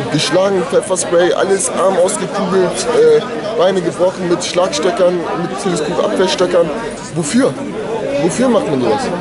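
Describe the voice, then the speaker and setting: Over heavy background noise, a man talks neither quickly nor slowly. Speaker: local resident. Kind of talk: street interview. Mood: upset, indignant. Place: street. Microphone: phone near.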